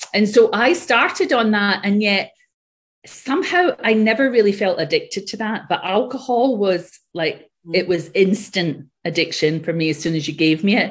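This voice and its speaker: A somewhat breathy woman at a moderate pace, lively in intonation, against a quiet background. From Scotland. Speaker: yoga and Ayurveda teacher, author. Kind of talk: casual interview. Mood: warm, reflective. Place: home room. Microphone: earbuds.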